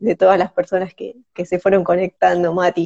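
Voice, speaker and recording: A medium-pitched woman's voice, dark and mellow, dry and close with no echo. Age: 30s. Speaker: live stream host. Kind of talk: interview.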